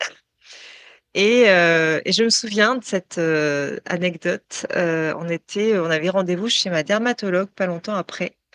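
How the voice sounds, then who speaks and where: Speaking very slowly, a woman uses a medium pitch. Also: dry, close sound with no echo. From France, Touraine region. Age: 40s. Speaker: tattooed model. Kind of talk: interview testimony. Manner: hesitant, many fillers.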